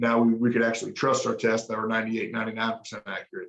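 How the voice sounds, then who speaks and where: A man with a Southern US accent. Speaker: emergency physician. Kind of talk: lecture. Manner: fast.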